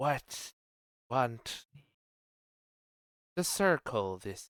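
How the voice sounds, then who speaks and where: A man puts on a character voice at a medium pitch. The recording is very clean, with a silent background. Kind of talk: broken, ungrammatical speech.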